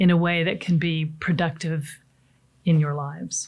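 Over a silent background in a very clean recording, a woman with an American accent speaks at a very slow pace. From US Pacific Northwest. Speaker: seminar speaker on coping with change. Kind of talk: motivational talk. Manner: conversational, with frequent fillers.

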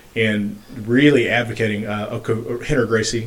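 A man with a normal speaking voice talks at a fairly low pitch with fairly even intonation. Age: 40s. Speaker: podcast host and registered nurse. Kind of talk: casual interview.

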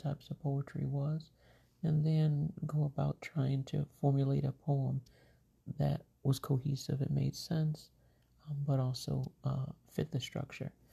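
Slow-ish and flat, a woman speaks in a very deep, low, somewhat breathy voice at a fairly slow pace with monotone intonation. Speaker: poet. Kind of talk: poetry reading, performed poem. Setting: home recording, late at night. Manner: measured, rhythmic, expressive delivery; casual, chatty, slightly scattered intro.

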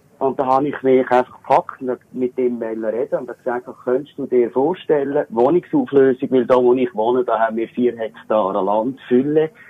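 Here a man with an ordinary speaking voice talks at a moderate pace and medium pitch, with ordinary pitch variation and hardly any pauses. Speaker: caller. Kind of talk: casual chat. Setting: phone call. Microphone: poor phone line, dropouts.

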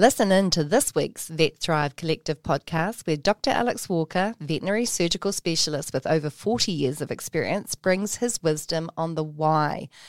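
A woman with a New Zealand accent speaks at a moderate pace, her fairly low pitch moving with ordinary variation. The sound is dry and close with no echo, in a very clean recording over a silent background. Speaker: podcast host. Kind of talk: interview; scripted narration. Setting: studio.

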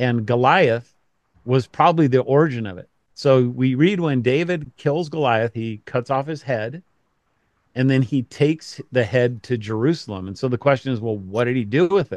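Against a quiet background, a man with a normal speaking voice and an American accent talks at a moderate pace, medium in pitch with ordinary pitch variation. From Colorado, US. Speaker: pastor and author. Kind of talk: casual interview.

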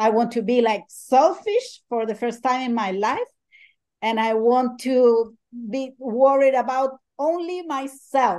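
A very slow pace, ordinary pitch variation and a Spanish accent. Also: woman, high pitch for a woman. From Chile. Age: 50s. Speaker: ultrarunner and life coach. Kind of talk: interview.

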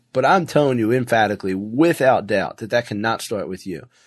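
A man with a normal speaking voice, medium pitch, lively intonation and a fairly quick pace against a quiet background. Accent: American. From Philadelphia, US. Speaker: business owner and CEO. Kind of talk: casual interview conversation.

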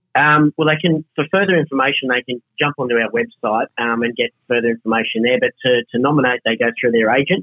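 A man with an Australian accent at a medium pitch, fairly quick pace, hardly any pauses, very even loudness and ordinary pitch variation. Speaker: cattle breed society representative. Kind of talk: radio interview.

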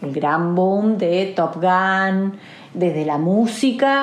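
A woman's voice with audible room echo. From Argentina, Olavarría (Buenos Aires province). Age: 40s. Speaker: interviewee. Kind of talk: interview.

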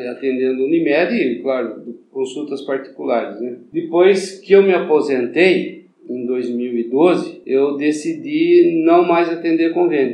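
Audible room echo surrounds a man's fairly high-pitched voice with a dark, mellow tone. He talks at a fairly slow pace with ordinary pitch variation. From São Paulo interior, Santa Bárbara d'Oeste. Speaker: doctor. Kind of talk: interview.

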